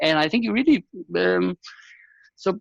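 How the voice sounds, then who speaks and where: A man with a Danish accent speaks at a fairly quick pace and fairly high pitch, his pitch varying in an ordinary way, in a dry, close sound with no echo. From Denmark. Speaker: philosophy professor. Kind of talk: interview conversation.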